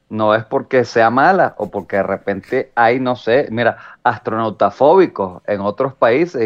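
At a moderate pace, a man with a Venezuelan accent talks in a medium pitch with lively intonation. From Venezuela, San Antonio de los Altos area. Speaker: comedian and podcast co-host. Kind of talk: casual chat.

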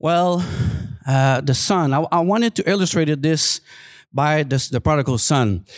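A man with a French Canadian accent, lively intonation, very even loudness and a moderate pace, on a very clean recording with a silent background. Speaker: guest preacher. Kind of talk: sermon. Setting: church. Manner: halting.

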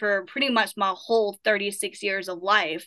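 A woman with an Appalachian accent speaks at a medium pitch with fairly even intonation. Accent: Southern Appalachian American. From southern Appalachia, US. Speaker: paranormal investigator. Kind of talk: casual interview.

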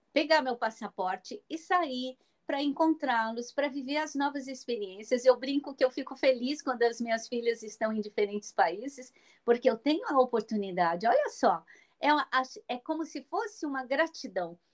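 In a dry, close sound with no echo, a woman speaks in a high pitch with lively intonation. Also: moderate pace. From Brazil, rural Minas Gerais. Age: 60s. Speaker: blogger and speaker on aging. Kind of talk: interview.

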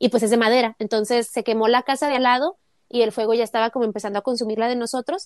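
Very fast speech with fairly even intonation comes through with a dry, close sound and no echo. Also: woman, fairly high pitch for a woman. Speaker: podcast co-host. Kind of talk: casual chat.

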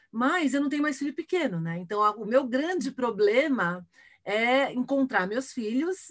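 A woman speaks with a high pitch. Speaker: futurist and keynote speaker. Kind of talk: casual interview. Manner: animated.

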